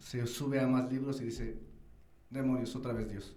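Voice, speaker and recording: A man at medium pitch, with audible room echo and noticeable background noise. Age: young. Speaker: radio host. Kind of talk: interview conversation.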